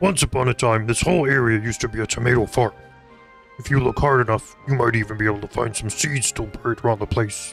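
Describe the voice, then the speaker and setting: Doing a put-on character voice, a man talks at a very fast pace at a medium pitch with ordinary pitch variation, with clear music in the background. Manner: storytelling, put-on voice.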